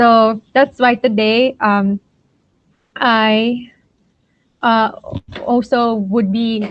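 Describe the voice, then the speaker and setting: A woman with a fairly high pitch speaks in a Filipino accent. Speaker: science mentor / lecturer. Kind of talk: lecture. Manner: hesitant with many fillers.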